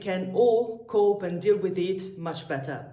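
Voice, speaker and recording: With an Italian accent, a woman of medium pitch speaks at a fairly slow pace with lively intonation, and audible room echo surrounds her. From Italy. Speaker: tango dancer. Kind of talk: recorded video message.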